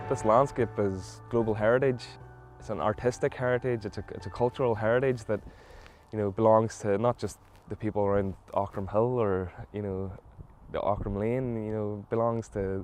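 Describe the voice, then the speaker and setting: A moderate pace and fairly even intonation, in a Mid Ulster accent. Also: man, fairly low pitch for a man. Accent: Northern Irish (mid-Ulster). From Northern Ireland, South Derry. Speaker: environmental campaigner. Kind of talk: interview testimony.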